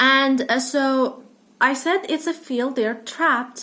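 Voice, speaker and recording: Very slowly, a woman with a high pitch speaks in a raised, projected voice with a bright, sharp tone. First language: non-English. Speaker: book vlogger. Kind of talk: casual book review vlog. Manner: hesitant, many fillers.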